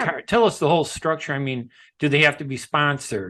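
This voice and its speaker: A man at a fairly high pitch and fairly quick pace against a quiet background. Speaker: radio show host, veteran journalist. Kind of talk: radio interview questions.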